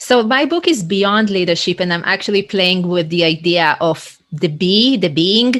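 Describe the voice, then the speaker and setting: A woman with an Israeli accent speaks at a fairly slow pace in a medium pitch, with an energetic tone, ordinary pitch variation, very even loudness and hardly any pauses. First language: Hebrew. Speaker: leadership coach. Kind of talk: interview conversation.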